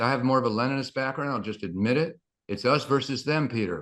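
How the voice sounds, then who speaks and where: The man's voice sits at a medium pitch and varies in pitch in an ordinary way. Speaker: academic panelist at book launch. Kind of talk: panel talk. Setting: panel with live translation. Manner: halting.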